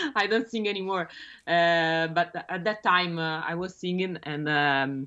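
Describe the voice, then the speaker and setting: A woman with an Italian accent speaks at a very slow pace with fairly even intonation. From Italy, Rome. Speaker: bassist. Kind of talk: interview. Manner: halting, many fillers.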